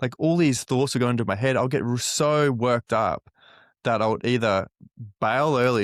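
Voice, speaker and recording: In a very clean recording with a silent background and a dry, close sound with no echo, a man with an unremarkable speaking voice and medium pitch talks fairly quickly with ordinary pitch variation. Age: 20s. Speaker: podcast host and mental health advocate. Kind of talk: interview conversation.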